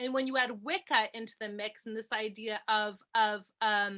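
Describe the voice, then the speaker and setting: A woman with a New York accent, fairly high-pitched and bright and sharp in tone, at a moderate pace with fairly even intonation, on a very clean recording with a silent background. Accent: American (New York). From New York, US. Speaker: film lecturer and author. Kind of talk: interview. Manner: hesitant, many fillers.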